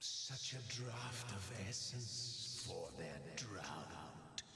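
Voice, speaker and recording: Doing a put-on character voice, a man speaks in a medium pitch at a very slow pace, with strong echo and clear background noise. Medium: video game. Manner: poetic, dreamy.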